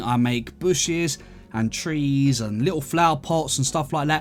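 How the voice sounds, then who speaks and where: A man's relaxed tone at a moderate pace, ordinary pitch variation, music in the background. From London, England. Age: 30s. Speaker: gaming YouTuber. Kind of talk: casual gameplay commentary and Q&A. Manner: relaxed, chatty.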